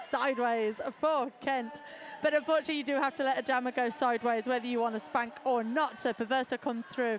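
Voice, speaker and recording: With an English Midlands accent, a woman speaks in a high pitch with ordinary pitch variation and an animated tone. Noticeable background noise sits behind her. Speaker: sports announcer. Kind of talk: live commentary.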